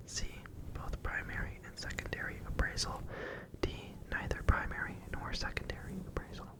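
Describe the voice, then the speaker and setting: Whispering, a man goes at a moderate pace with long, frequent pauses. Noticeable background noise is present. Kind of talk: ASMR quiz read. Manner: whispered.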